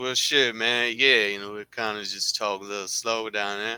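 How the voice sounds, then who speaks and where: A man puts on a character voice in an Alabama accent. He drawls in a monotone at medium pitch and a moderate pace. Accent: Alabama, southern. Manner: slow, drawling.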